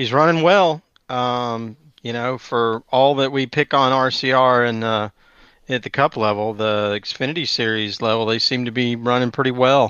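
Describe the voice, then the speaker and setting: A man's medium-pitched voice in a Southern US accent, at a moderate pace with fairly even intonation. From US South, Metro Atlanta, Georgia. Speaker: podcast co-host. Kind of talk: casual chat.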